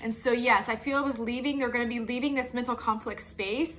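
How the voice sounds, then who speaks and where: Noticeable background noise accompanies a woman speaking at a high pitch with ordinary pitch variation. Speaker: tarot reader. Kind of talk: tarot reading monologue. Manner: animated.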